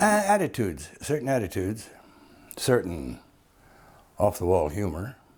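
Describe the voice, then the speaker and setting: In a very clean recording with a silent background, a somewhat breathy man with a fairly low pitch speaks at a moderate pace, making very wide pitch swings and long, frequent pauses. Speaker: actor. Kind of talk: interview answer. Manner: colloquial storytelling, humorous.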